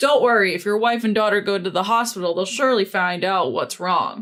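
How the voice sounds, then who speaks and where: A woman puts on a character voice at a medium pitch and a fairly quick pace, with faint music in the background. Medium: read story. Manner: calm, blunt.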